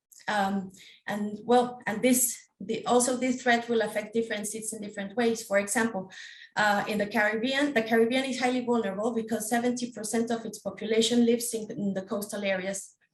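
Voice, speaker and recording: A woman with a non-native accent speaks at a fairly quick pace, her fairly high, somewhat breathy voice in a monotone, flat intonation. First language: not English. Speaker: PhD researcher. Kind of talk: panel presentation. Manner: halting, many fillers.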